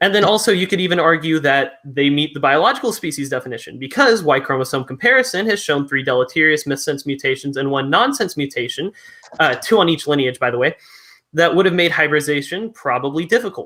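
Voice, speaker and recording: With a bright, sharp tone and fairly high pitch, a man talks at a very fast pace with lively intonation. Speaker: evolutionist debater. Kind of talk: formal debate.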